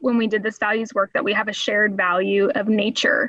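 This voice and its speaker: In a plain, everyday voice, a woman talks at a fairly quick pace with ordinary pitch variation. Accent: American. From Oklahoma. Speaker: nonprofit fundraiser and speaker. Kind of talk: podcast interview.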